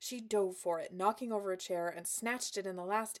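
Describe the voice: Someone reads aloud plainly, the pitch shifting about as much as usual.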